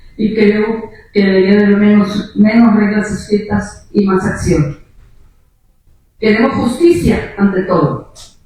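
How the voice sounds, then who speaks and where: Audible room echo can be heard on the recording. The pitch shifts in an ordinary way. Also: woman. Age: 70s. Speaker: activist searching for a disappeared relative. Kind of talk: panel discussion. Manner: impassioned.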